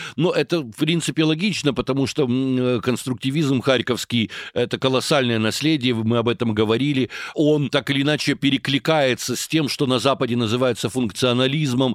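A man with an unremarkable speaking voice talks at a moderate pace with ordinary pitch variation, recorded in a dry, close sound with no echo. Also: medium pitch for a man. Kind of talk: interview.

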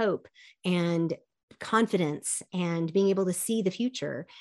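A woman speaks at a moderate pace. The recording is very clean, with a silent background. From East Texas, raised in Seoul, Korea. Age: 50s. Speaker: leadership coach. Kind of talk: interview conversation.

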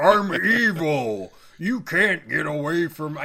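Using a put-on character voice, a man speaks very slowly at a high pitch. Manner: cheesy, exaggerated evil.

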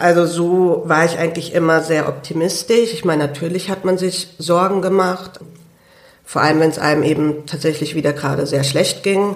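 Audible room echo surrounds a woman speaking at a moderate pace, her pitch fairly low and her intonation fairly even. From Germany, Hunsrück (Idar-Oberstein). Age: 20s. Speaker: lung transplant patient and student. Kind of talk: interview. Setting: studio.

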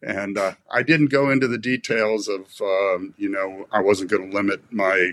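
A man with an American accent talks in an ordinary speaking voice, fairly low in pitch and with ordinary pitch variation. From US East Coast, Maryland. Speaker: veterinarian and former foundation director. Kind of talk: casual interview conversation.

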